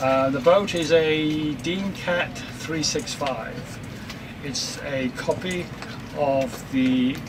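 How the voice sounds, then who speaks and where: There is audible room echo and noticeable background noise as a man with an English accent speaks at a very slow pace. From England. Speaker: retired sailor living aboard. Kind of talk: interview. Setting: aboard their sailboat.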